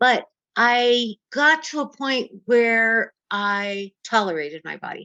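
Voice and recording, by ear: Her voice is bright and sharp, fairly high for a woman, moving at a slow pace with ordinary pitch variation in a dry, close sound without echo.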